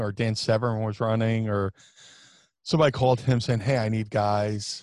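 The speaker has an American accent and a moderate pace. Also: man. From US Northeast, South Jersey / Philadelphia area. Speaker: professional wrestler. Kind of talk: casual interview chat. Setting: remote call.

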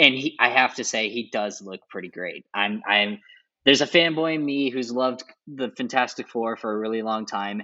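A man speaks at a moderate pace in an ordinary speaking voice, his medium pitch showing ordinary pitch variation. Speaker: guest film fan. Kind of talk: casual chat.

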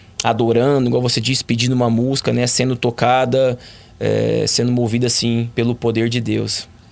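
A man's medium-pitched voice comes at a moderate pace with monotone, flat intonation and very even loudness. Noticeable background noise is present. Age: 30s. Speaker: professional footballer. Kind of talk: interview testimony.

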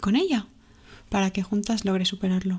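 Very fast and fairly even in intonation, a woman speaks at a medium pitch in a very clean recording with a silent background. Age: 20s. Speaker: podcast host. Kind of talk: casual monologue.

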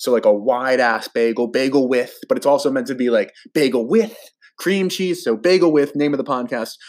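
In a very clean recording with a silent background, a man with a New Jersey accent speaks at a moderate pace with lively intonation. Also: medium pitch for a man. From New Jersey, US. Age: 20s. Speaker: podcast host. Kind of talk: casual chat.

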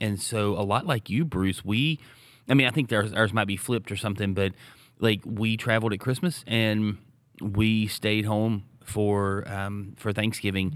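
A man with a plain, everyday voice talks at a moderate pace in a fairly low pitch. His intonation is fairly even on a very clean recording with a silent background. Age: 40s. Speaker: podcast co-host, small church leader. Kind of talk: casual chat.

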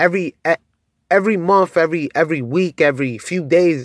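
A man's animated, fairly high-pitched voice with ordinary pitch variation and a dry, close sound with no echo. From Pennsylvania, Allentown. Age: 30s. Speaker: podcaster. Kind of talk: motivational monologue. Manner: casual, animated.

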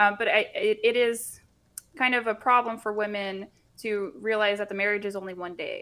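A woman's fairly high, a normal speaking voice, with fairly even intonation at a moderate pace. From US South, Central Florida. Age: 20s. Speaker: YouTuber, guest. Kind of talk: casual chat.

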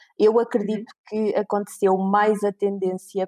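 A woman in a European Portuguese accent, medium in pitch, with a dark, mellow tone, monotone, flat intonation and a moderate pace, in a dry, close sound with no echo. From Portugal, Viseu. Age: 30s. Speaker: recruitment company manager. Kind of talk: interview.

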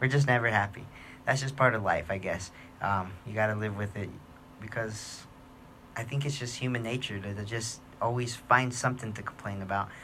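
A man with a bright, sharp tone and medium pitch speaks at a fairly quick pace with fairly even intonation, long, frequent pauses, and audible room echo. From New Mexico, Gallup. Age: 30s. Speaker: podcast host. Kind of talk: casual monologue.

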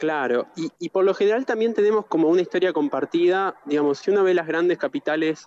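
High-pitched and lively in intonation, a man talks at a fairly quick pace with hardly any pauses. The sound is dry and close, with no echo. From Argentina, Gualeguaychú (Entre Ríos). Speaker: architect. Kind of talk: interview conversation. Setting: remote connection, outdoors in the city.

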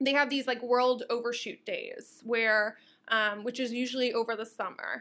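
The voice has a bright, sharp tone and an American accent. Its intonation is monotone and flat. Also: woman, high pitch for a woman, moderate pace. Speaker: eco activist and social media influencer. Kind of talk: interview conversation.

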